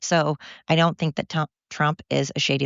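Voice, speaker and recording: With an American accent and an animated tone, a woman speaks at a very deep, low pitch with vocal fry. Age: 50s. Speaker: podcast host. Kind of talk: casual monologue. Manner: fast.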